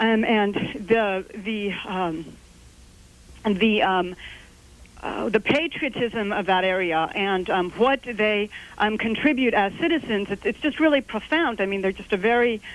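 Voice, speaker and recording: A woman with an American accent speaks at a fairly slow pace, her fairly high voice carrying lively intonation. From Texas (San Antonio). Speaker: caller. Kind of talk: call-in question. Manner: halting, many fillers.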